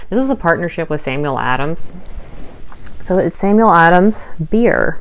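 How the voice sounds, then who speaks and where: At a moderate pace, a woman speaks with lively intonation and a fairly low pitch. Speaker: part-time online reseller, vlogger. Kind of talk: casual haul video talk. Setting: home recording while daughter sleeps. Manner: loud; chatty, filler-heavy.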